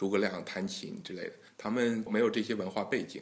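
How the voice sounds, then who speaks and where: A man talks in an ordinary speaking voice, fairly low in pitch, with fairly even intonation. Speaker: guqin association president and engineering scholar. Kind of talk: interview.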